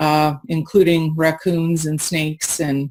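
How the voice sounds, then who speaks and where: A woman with a Canadian accent and a fairly low pitch, on a very clean recording with a silent background. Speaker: nurse. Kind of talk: testimony.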